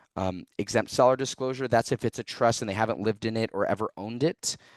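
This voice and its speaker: A normal speaking voice moves at a fairly quick pace with ordinary pitch variation. The sound is dry and close with no echo, over a quiet background. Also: man. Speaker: real estate trainer. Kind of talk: tutorial.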